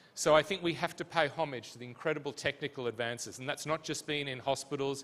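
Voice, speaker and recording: With an Australian accent, a man of medium pitch speaks at a fairly quick pace. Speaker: physician and healthcare leadership academic. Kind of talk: conference panel answer.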